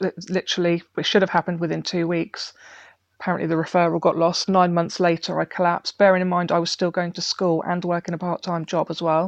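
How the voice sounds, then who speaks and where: Over a quiet background, a woman talks at a fairly quick pace in a fairly low pitch. Her delivery is monotone and flat, with a dry, close sound and no echo. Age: 40s. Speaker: heart failure patient. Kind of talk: personal testimony interview.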